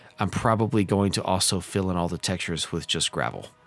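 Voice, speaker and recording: Over music in the background, a man speaks at a very deep, low pitch. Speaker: model railroad simulator video creator. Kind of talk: tutorial. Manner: halting.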